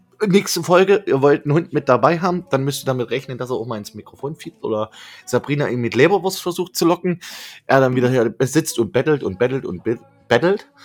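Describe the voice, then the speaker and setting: Fairly high-pitched man with a plain, everyday voice, lively intonation and a fairly quick pace. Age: 20s. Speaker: webradio host and podcaster. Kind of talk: casual chat. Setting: remote call.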